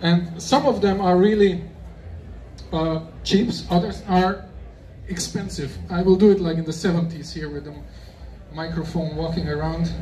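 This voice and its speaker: A man at a high pitch speaks with fairly even intonation and long, frequent pauses. The room has audible echo and noticeable background noise. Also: moderate pace. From Germany. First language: German. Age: 50s. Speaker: shrimp expert speaker. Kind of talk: expo talk to audience. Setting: stage with audience at expo. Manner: casual, halting non-native English.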